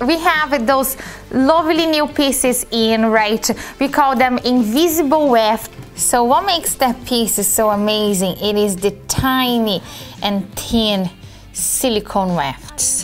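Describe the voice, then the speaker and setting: Faint music sits in the background. A woman talks over it at a very slow pace. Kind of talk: product demonstration tutorial. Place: shop.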